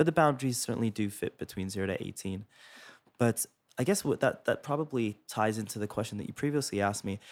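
A man with a Canadian accent has an unremarkable speaking voice, fairly low in pitch with ordinary pitch variation. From England, raised in Toronto from grade nine. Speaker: pediatrician, chief of pediatrics. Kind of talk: interview. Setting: studio.

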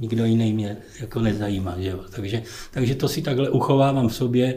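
Somewhat breathy and set in audible room echo, the voice moves at a fairly quick pace with ordinary pitch variation. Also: man. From Ostrava, Czechia. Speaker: retired footballer. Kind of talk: casual interview. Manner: halting.

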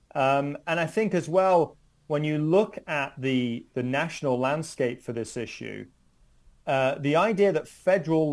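Speaking at a fairly slow pace with a British accent, a man uses a fairly high pitch and ordinary pitch variation. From United Kingdom. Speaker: criminology professor. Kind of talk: interview. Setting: at home, remote.

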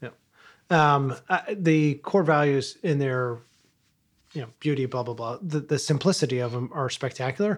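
On a very clean recording with a silent background, a man with a fairly high pitch uses a normal speaking voice at a moderate pace. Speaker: podcast co-host. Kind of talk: casual chat.

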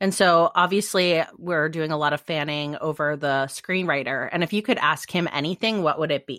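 A woman with an American accent, fairly low in pitch, in a bright, sharp tone with hardly any pauses. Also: ordinary pitch variation, moderate pace, very clean recording, silent background. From Midwest and California, US. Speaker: romance novelist podcast host. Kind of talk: casual chat.

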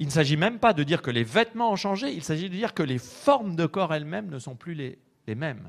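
A man talks at a fairly quick pace, his pitch swinging very widely. The recording is very clean, with a silent background. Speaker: lecturer. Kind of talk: lecture. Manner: formal.

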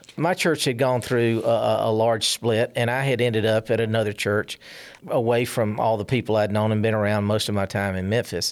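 A man with a Southern US accent talks at a fairly quick pace, his intonation fairly even. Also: medium pitch for a man. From South Carolina, small town. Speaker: church member. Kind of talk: testimony. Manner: halting.

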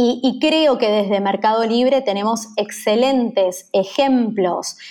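A woman speaks at a very slow pace with a Rioplatense accent. Her pitch sits fairly high, with ordinary variation. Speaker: business executive. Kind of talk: interview.

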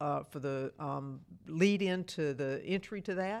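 Recorded very cleanly over a silent background, a woman with a Mississippi accent talks at a fairly low pitch with ordinary pitch variation. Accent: US Southern (Mississippi). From Mississippi (Starkville). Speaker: mayor, former Navy and airline pilot. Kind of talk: interview. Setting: city hall.

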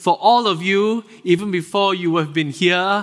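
A man with a Singaporean accent speaks in a high pitch. His tone is bright and sharp. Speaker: associate pastor. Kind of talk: sermon. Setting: church.

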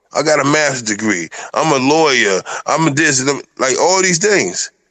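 In a normal speaking voice, a man talks at a moderate pace with lively intonation and a fairly high pitch. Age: 50s. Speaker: polygamous husband discussing marriage. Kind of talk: casual chat.

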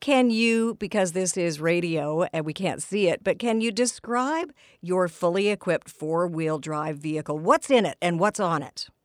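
At a moderate pace with hardly any pauses, a woman in an unremarkable speaking voice speaks at medium pitch with lively intonation, on a very clean recording with a silent background and a dry, close sound with no echo. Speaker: radio host. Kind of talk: radio interview. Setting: studio.

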